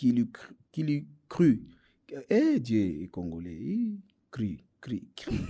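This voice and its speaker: Speaking at a very slow pace, a man leaves long, frequent pauses and makes big swings in loudness. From DR Congo, Bukavu. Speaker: stand-up comedian. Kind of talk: interview. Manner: hesitant, many fillers.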